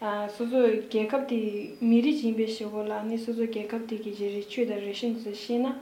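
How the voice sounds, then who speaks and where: A woman with a Tibetan accent speaks at a moderate pace with hardly any pauses, a fairly high pitch and a monotone, flat intonation, amid audible room echo and noticeable background noise. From Tibet, Kham region (Dege county). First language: Tibetan (speaking Chinese). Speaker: university student. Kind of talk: casual interview. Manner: halting.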